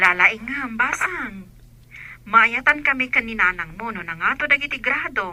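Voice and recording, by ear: A woman puts on a character voice, bright and sharp in tone with a fairly high pitch. She speaks at a fairly slow pace with lively intonation.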